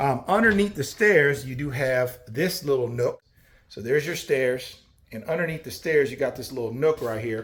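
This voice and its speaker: Using a normal speaking voice, a man talks at a moderate pace with a fairly high pitch, lively intonation and big swings in loudness. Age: 40s. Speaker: cabin salesman. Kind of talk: sales pitch. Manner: casual, many filler ums.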